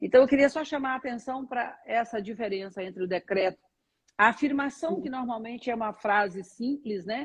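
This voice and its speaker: A somewhat breathy woman's voice with lively intonation at a moderate pace. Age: 60s. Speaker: spiritual teacher. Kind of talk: interview on a live stream. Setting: online live stream.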